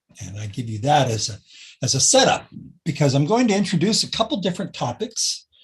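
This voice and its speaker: Speaking at a very fast pace, a man with an American accent uses a somewhat breathy, fairly high voice with very wide pitch swings and big swings in loudness. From California. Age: 70s. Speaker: spiritist speaker, retired musician and technologist. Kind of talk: spiritual talk.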